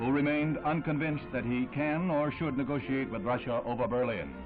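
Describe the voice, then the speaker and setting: Over background music, a man speaks at a very fast pace in a dramatic tone. His pitch is fairly high and varies in an ordinary way. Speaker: newsreel narrator. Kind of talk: vintage newsreel narration. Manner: brisk, dramatic, authoritative.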